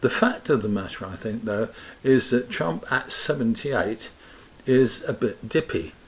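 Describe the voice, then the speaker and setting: Here a man speaks with a British accent. His pace is fairly slow. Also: medium pitch for a man, ordinary pitch variation. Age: 70s. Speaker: pensioner vlogger. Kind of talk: casual opinion talk to camera. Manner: conversational, rambling.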